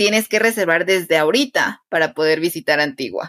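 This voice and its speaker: A woman talks at a moderate pace with ordinary pitch variation in an unremarkable speaking voice. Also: dry, close sound with no echo. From Guatemala, Quetzaltenango. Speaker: Spanish teacher. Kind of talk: interview conversation.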